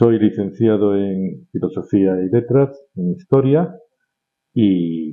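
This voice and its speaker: A man speaks in a Madrid accent. His intonation is lively. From Madrid, Spain (Vallecas). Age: 60s. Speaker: communications consultant. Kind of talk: interview.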